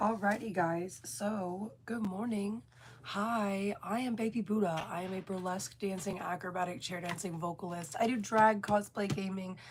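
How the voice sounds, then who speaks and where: A woman talks at a moderate pace with hardly any pauses. Her voice sits at a medium pitch and sounds somewhat breathy. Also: ordinary pitch variation. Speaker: burlesque performer and vlogger. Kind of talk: casual vlog chat. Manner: animated.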